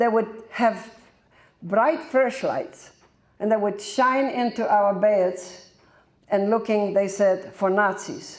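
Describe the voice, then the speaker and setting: A woman's fairly high voice with a Polish accent, fairly slow and with ordinary pitch variation, amid audible room echo. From Poland, German family. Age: 80s+. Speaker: Holocaust-era war survivor. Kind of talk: testimony. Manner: halting.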